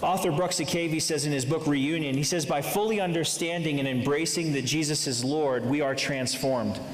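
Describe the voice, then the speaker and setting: Fairly quick speech in an American accent, with hardly any pauses, very even loudness and noticeable background noise. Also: man, fairly high pitch for a man. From Massachusetts, then Indianapolis. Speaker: youth pastor and campus ministry leader. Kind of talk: sermon. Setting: church stage with audience. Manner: animated, humorous, preacher cadence.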